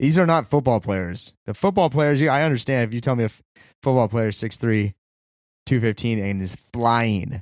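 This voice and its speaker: A man's ordinary speaking voice at a medium pitch and moderate pace, with lively intonation and a dry, close sound with no echo. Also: very clean recording, silent background. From California. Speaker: podcast co-host. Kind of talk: casual chat.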